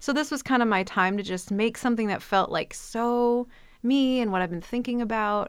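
On a very clean recording with a silent background, a woman with an American accent talks at a moderate pace with ordinary pitch variation. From US Midwest. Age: 40s. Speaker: artist and drummer. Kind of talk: casual interview. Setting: radio studio. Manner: hesitant, many fillers.

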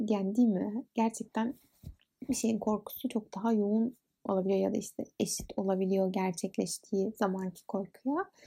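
A woman speaks at medium pitch and a moderate pace with a dark, mellow, somewhat breathy tone. Her intonation is fairly even and her loudness very even. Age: 20s. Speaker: podcast host. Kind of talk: casual monologue.

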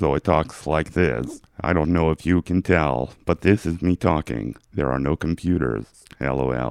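A man in a put-on robotic character voice speaks at a moderate pace with a very deep, low pitch.

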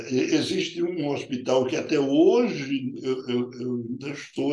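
Against noticeable background noise, a man speaks at a fairly slow pace with very wide pitch swings. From Paraíba, Brazil (rural interior). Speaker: urologist. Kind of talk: interview. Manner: halting.

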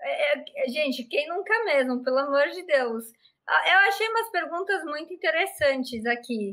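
A woman's high, shrill voice with a bright, sharp tone moves through very wide pitch swings at a fairly slow pace. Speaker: live show host. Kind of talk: casual chat. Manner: animated.

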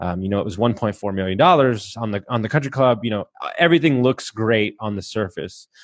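Speaking fairly quickly with an American accent, a man has an ordinary speaking voice at medium pitch with ordinary pitch variation. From Texas. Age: 30s. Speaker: podcast host and mindset coach. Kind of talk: casual interview, telling life story.

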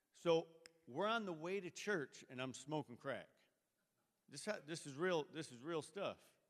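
A man with a fairly high pitch and ordinary pitch variation talks at a fairly slow pace, leaving long, frequent pauses. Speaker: church member. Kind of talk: testimony. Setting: church.

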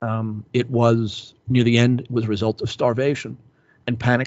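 A man speaks in a monotone with flat intonation. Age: 50s. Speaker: historian and author. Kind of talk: interview. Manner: frequent fillers and hesitations.

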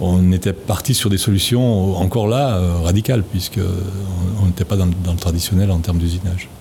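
Against noticeable background noise, a man with a very deep, low pitch speaks at a moderate pace, his intonation fairly even and his loudness very even. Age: 70s. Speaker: retired bicycle component engineer. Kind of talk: interview. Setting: on location at a company site.

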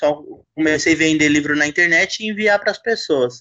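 The speaker is a man. He talks at a moderate pace. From Brazil, São Paulo. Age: 30s. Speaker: novelist. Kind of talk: casual chat.

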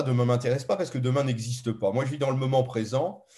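This man's voice is somewhat breathy. He speaks at a fairly quick pace. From France, Paris. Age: 70s. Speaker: ethnobotanist and author. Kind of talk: interview conversation. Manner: hesitant, with filler sounds.

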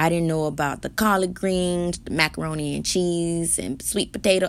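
A woman with a normal speaking voice, fairly low pitch, fairly even intonation and a moderate pace. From US, Haitian-American. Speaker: podcast host and singer. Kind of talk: casual solo podcast monologue. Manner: warm, chatty, informal.

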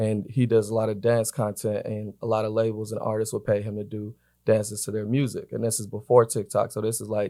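Here a man with an American accent speaks at a fairly low pitch and a fairly quick pace. His intonation is monotone and flat, and the recording is very clean with a silent background. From Atlanta, US South. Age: 20s. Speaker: record label influencer marketing director. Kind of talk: casual interview chat.

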